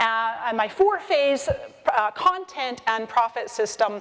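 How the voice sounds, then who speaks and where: A woman with a fairly high pitch against noticeable background noise. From Scotland (Edinburgh), Scottish parents, born in Canada. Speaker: social media marketing expert and speaker. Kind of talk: conference talk. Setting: stage with audience. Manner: animated.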